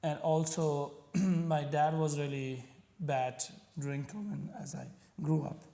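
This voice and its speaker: Speaking at a very slow pace with long, frequent pauses, a man uses a fairly high pitch and fairly even intonation amid audible room echo. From Pakistan. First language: Punjabi. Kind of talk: interview. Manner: halting.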